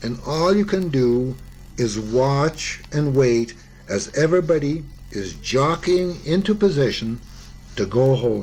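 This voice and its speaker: Very slow, somewhat breathy speech with lively intonation. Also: man, fairly high pitch for a man. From Canada. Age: 70s. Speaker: war veteran. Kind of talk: memoir reading.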